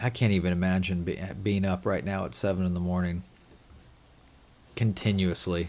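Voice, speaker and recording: Mumbling at a moderate pace, a man with very deep, low pitch speaks in a monotone, flat intonation with long, frequent pauses. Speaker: gaming live streamer. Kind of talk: casual live stream chat. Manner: halting.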